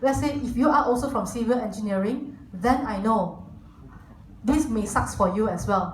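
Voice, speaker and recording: Her pitch is fairly high, with ordinary pitch variation. The woman's voice carries audible room echo. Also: moderate pace. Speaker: corporate team lead giving guest talk. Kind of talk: lecture.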